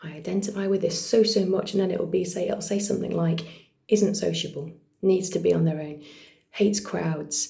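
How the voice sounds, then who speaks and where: A woman with a British accent speaks quietly at a moderate pace, her fairly low pitch held in a fairly even intonation, with audible room echo. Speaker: vlogger and actor. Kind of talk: casual vlog monologue. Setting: at home, partner asleep next room. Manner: trying to speak quietly; many fillers, unscripted.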